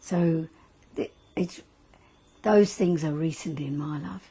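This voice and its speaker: A woman with an Australian accent speaks at a fairly slow pace. Her voice is somewhat breathy and fairly low in pitch, with ordinary pitch variation. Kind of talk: interview answer. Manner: casual, reflective.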